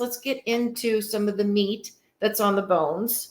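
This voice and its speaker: A woman's fairly high voice with a Midwestern accent. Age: 50s. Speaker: podcast host, retirement strategist. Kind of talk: solo podcast talk.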